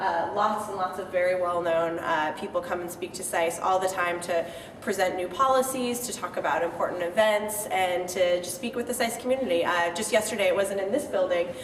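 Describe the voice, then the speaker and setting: Talking at a fairly quick pace with hardly any pauses, a woman uses a medium pitch and ordinary pitch variation, in a West Coast US accent. Audible room echo and noticeable background noise fill the recording. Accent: General American, West Coast. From US Pacific Northwest, Seattle. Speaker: graduate student tour guide. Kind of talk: guided tour. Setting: indoors, university building. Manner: soft-spoken, quiet.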